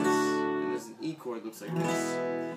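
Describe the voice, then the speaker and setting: Clear music sits in the background while the speech moves at a moderate pace. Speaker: guitar teacher. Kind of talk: tutorial. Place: home room. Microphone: phone near.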